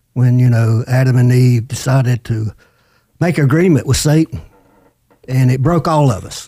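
Long, frequent pauses break up this man's speech, which has ordinary pitch variation. His tone is dark and mellow, and somewhat breathy. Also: medium pitch for a man, moderate pace. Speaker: podcast co-host. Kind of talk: testimony.

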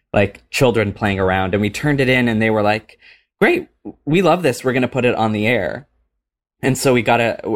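The speaker has a normal speaking voice with an American accent. Pitch variation is ordinary. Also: man. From US Pacific Northwest (small town in Washington). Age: 30s. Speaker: comedic actor and cabaret performer. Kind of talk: casual interview chat. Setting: remote call from home.

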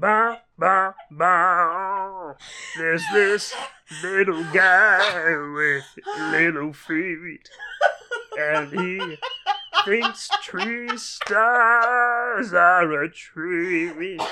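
A put-on character voice at a very slow pace. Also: man, high pitch for a man. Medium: solo performance. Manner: gruff, comic overacting.

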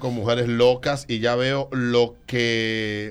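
Here is a man talking. He speaks with a Dominican accent. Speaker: radio host. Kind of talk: casual chat.

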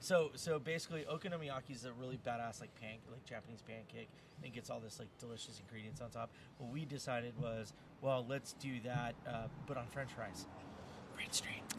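Man with an American accent, medium pitch, ordinary pitch variation and a fairly quick pace, against noticeable background noise. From Houston, Texas. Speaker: food truck owner and chef. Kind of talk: casual chat. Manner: loud.

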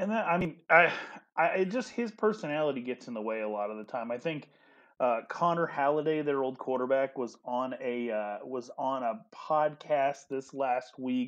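A man with an ordinary speaking voice, medium pitch, lively intonation and a moderate pace, over a quiet background. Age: 30s. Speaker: sports podcast co-host. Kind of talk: casual sports chat.

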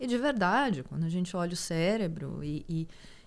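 In a plain, everyday voice, a woman with medium pitch speaks at a fairly slow pace with lively intonation. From Goiás, Brazil. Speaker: psychologist and former competitive swimmer. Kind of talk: casual interview.

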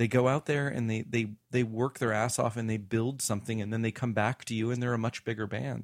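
In a normal speaking voice, a man with a medium pitch and an American accent talks at a fairly quick pace with hardly any pauses, in a very clean recording with a silent background and a dry, close sound with no echo. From US South. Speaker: musician and recording studio owner. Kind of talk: casual interview. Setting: studio.

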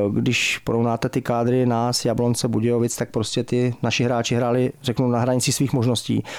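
With hardly any pauses, a man speaks at a fairly quick pace in a medium pitch, his loudness very even and his intonation monotone and flat. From Czech Republic, Pardubice. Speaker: football goalkeeping coach and sports manager. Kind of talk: radio interview. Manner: halting.

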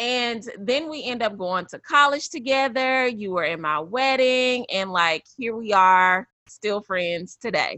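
She talks fairly slowly in a normal speaking voice, her pitch fairly high and her intonation lively. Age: 30s. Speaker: podcast host. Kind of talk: casual interview chat.

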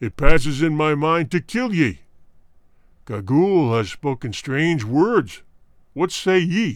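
Pitched fairly high, a man does a put-on character voice at a fairly slow pace with very wide pitch swings and long, frequent pauses, on a very clean recording with a silent background. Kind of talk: archaic formal speech. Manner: menacing, imperious.

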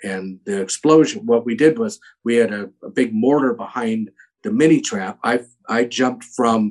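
At a fairly slow pace, a man with a normal speaking voice talks at medium pitch with ordinary pitch variation. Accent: American. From US West Coast. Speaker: actor. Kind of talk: casual interview.

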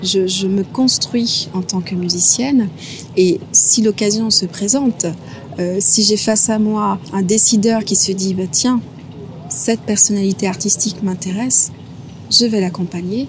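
Noticeable background noise accompanies a woman of medium pitch. She speaks at a fairly slow pace with ordinary pitch variation. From Guadeloupe (Les Abymes). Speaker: orchestra conductor and musician. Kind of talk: interview. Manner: hesitant, many fillers.

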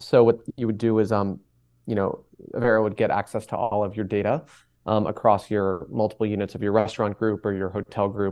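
A man talks at a fairly quick pace with an American accent. His fairly low voice stays monotone and flat. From Boston, Massachusetts. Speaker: cookware company co-founder. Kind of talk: interview.

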